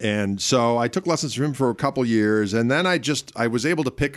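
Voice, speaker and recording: Over a very clean recording with a silent background, a man talks at a fairly quick pace with lively intonation in an unremarkable speaking voice. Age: 50s. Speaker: guitarist. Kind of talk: interview.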